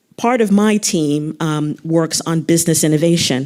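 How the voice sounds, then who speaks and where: A woman with an American accent talks at a fairly low pitch with ordinary pitch variation. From United States. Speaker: arts council executive. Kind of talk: panel discussion.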